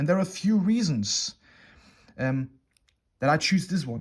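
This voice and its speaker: A man's somewhat breathy voice at a fairly quick pace with lively intonation, in a very clean recording with a silent background. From Germany. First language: German. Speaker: watch reviewer. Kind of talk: product review. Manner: halting, many fillers.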